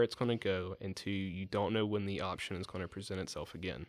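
A man's fairly low voice with an Alabama accent, a fairly quick pace and a very clean recording with a silent background. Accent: US Southern (Alabama). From Alabama, near Dothan. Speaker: recent public health graduate. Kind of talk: interview. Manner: halting, many fillers.

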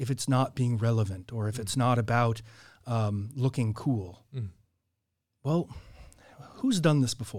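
On a very clean recording with a silent background, a man with an American accent speaks in a somewhat breathy voice at medium pitch, with ordinary pitch variation and long, frequent pauses. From Southern California, Orange County. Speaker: church historian and podcaster. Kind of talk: casual interview conversation. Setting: studio.

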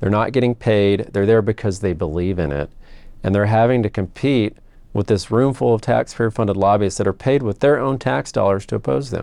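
A man with a Texan accent talks at a fairly quick pace in a dark, mellow tone. His pitch is fairly low and his intonation is lively. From Texas. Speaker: state senator. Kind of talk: interview.

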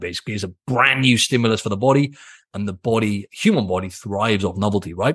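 A man with a British accent speaks at a very fast pace in an energetic, animated tone with ordinary pitch variation over a quiet background. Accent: British accent, drops T sounds. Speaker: fitness coach, podcast host. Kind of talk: solo podcast monologue.

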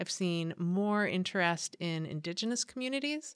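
In a Californian accent, a woman at medium pitch speaks at a moderate pace with ordinary pitch variation, in a very clean recording with a silent background and a dry, close sound with no echo. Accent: Californian American. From San Diego, California. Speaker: nonprofit association CEO. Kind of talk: interview conversation. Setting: studio.

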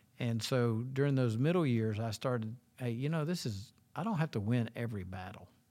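With an unremarkable speaking voice, a man talks at medium pitch and a fairly quick pace with ordinary pitch variation, recorded very cleanly against a silent background. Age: 60s. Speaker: associate pastor. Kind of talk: casual chat.

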